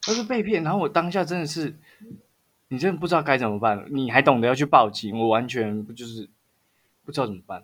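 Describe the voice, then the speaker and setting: A man with a Taiwanese accent at a fairly high pitch, very fast pace, very wide pitch swings, big swings in loudness and long, frequent pauses. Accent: Taiwanese Mandarin. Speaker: podcast co-host. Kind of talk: casual chat.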